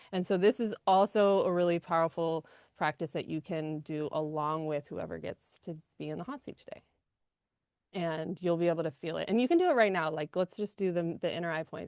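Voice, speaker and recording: Against a quiet background, a woman with a fairly low pitch speaks at a fairly quick pace with ordinary pitch variation, the sound dry and close with no echo. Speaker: energy healing practitioner. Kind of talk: guided healing session. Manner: fast; animated.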